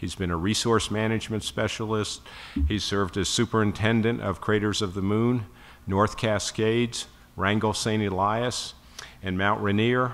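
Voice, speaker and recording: A man speaks in a monotone with flat intonation. His pitch is fairly low, and his pace is moderate. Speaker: event host introducing keynote. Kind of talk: formal speaker introduction. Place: hall. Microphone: podium.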